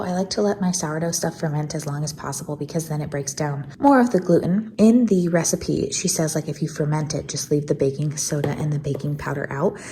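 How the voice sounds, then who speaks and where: The voice is soft-spoken. Its pitch varies in an ordinary way. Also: woman. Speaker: homemaker vlogger. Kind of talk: casual vlog tutorial. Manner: quiet, soft.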